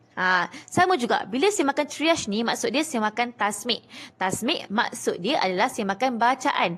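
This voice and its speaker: Very wide pitch swings run through this voice. The woman speaks with a high pitch. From Malaysia. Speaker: Quran reading teacher; Quran reading teacher, seller. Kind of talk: live-stream tutorial. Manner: fast. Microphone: phone near.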